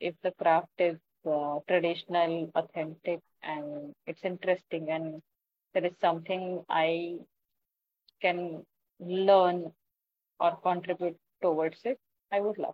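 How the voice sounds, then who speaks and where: In an Indian accent, a woman with a fairly low pitch speaks fairly slowly in a monotone, flat intonation, with long, frequent pauses. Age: 40s. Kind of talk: interview.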